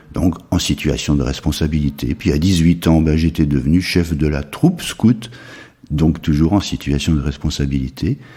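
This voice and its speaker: This man's pitch is very deep and low. His tone is dark and mellow. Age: 70s. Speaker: retired school headmaster, charity president. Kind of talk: interview. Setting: charity premises.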